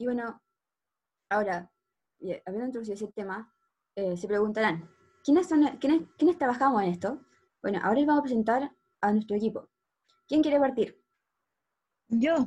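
Her tone is dark and mellow, her pitch fairly high, as this woman talks at a fairly quick pace with lively intonation and long, frequent pauses. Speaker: medical student podcast host. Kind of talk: casual podcast introduction.

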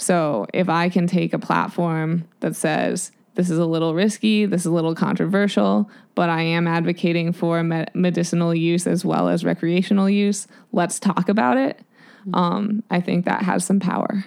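A normal speaking voice keeps very even loudness, with ordinary pitch variation at a moderate pace. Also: woman, fairly low pitch for a woman. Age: 30s. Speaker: professional mountain biker. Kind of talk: interview.

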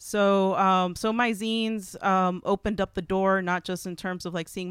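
This unremarkable speaking voice moves at a moderate pace in a very clean recording, dry and close with no echo against a silent background. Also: woman. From Texas, Houston. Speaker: writer and zine artist. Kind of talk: casual interview.

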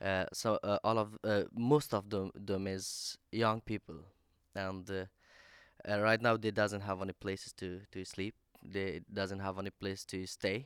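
A man with an Afghan accent speaks at a fairly slow pace in a fairly low pitch, his intonation flat and monotone, on a very clean recording with a silent background and a dry, close sound with no echo. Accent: non-native English, Afghan. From Afghanistan. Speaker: activist spokesperson. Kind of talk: panel talk. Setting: stage with audience. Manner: halting.

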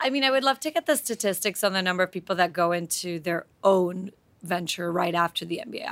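A woman talks at a medium pitch. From Slovakia. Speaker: MBA student and start-up founder. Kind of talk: interview.

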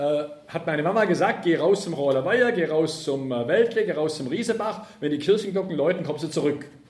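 A man speaks at a fairly high pitch and a fairly quick pace, with ordinary pitch variation. Room echo is audible, and background noise is noticeable. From southern Germany, Ravensburg near Lake Constance. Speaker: left-wing transport and environmental activist speaker. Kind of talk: public lecture.

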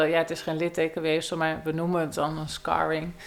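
Noticeable background noise fills the recording. Through it, a woman's voice comes across. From Netherlands, North/South Holland border near Aalsmeer. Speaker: cognitive neuroscientist. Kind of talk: interview. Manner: halting.

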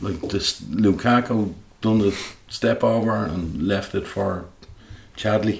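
A man with a fairly low pitch and vocal fry speaks very slowly, with ordinary pitch variation and long, frequent pauses. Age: 50s. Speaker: football fan, guest co-host. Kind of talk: casual chat.

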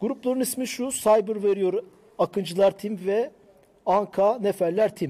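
A man's high-pitched voice, dark and mellow in tone, at a fairly slow pace. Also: ordinary pitch variation. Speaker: tech show host. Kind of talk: casual chat. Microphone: new microphone.

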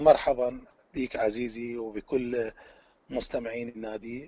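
Speaking with an Iraqi accent, a man talks at a medium pitch. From Iraq, Baghdad. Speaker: qanun teacher and musician. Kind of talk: interview. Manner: frank, blunt.

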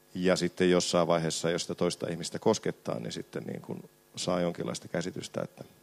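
A man speaks with a very deep, low pitch, vocal fry and lively intonation. The sound is dry and close, with no echo. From Finland, Sysmä. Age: 40s. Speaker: film director. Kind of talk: panel discussion at a live event. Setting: stage with audience.

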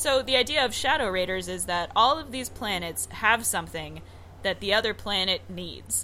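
Noticeable background noise around a woman talking at a moderate pace. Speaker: podcast host. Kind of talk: casual chat. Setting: remote recording.

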